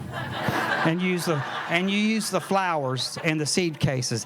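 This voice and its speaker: A man with a Southern US accent talks at a very slow pace, his fairly high pitch carrying lively intonation over noticeable background noise. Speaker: herbalist. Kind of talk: lecture. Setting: tent talk with live audience and microphone. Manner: animated.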